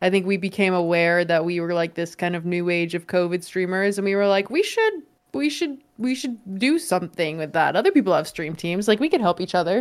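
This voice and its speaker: A woman with a normal speaking voice talks at a fairly quick pace, her pitch medium with ordinary variation. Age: 20s. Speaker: game streamer and YouTuber. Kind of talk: casual chat.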